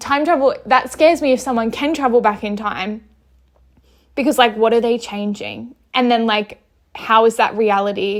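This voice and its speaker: A woman with an Australian accent speaks in an animated tone at a fairly high pitch. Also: ordinary pitch variation, moderate pace. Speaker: podcast host. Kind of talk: casual chat. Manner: loud and outspoken; animated, rambling fillers.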